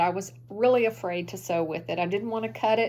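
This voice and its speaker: A woman at a medium pitch talks at a fairly quick pace with vocal fry. Her pitch swings very widely. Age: 60s. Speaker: sewing vlogger. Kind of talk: casual show-and-tell chat. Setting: home sewing room. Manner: chatty, conversational.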